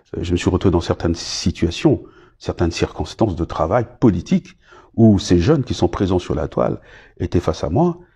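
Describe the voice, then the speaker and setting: A man speaks at a moderate pace in a somewhat breathy voice with a dark, mellow tone. His pitch swings very widely. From Republic of the Congo. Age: 60s. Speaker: politician, former minister. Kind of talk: interview monologue. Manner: hesitant, many fillers.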